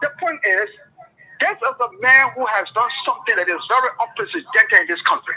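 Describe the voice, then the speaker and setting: A man talks at a fairly quick pace. Noticeable background noise can be heard the whole time. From Liberia. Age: 70s. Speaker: political commentator. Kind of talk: radio talk show debate. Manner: animated.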